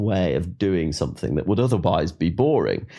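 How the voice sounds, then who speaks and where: In an English accent, a man speaks at a fairly quick pace with very wide pitch swings. His tone is dark and mellow, and the background is quiet. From England. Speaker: writer, former soldier and explorer. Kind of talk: interview.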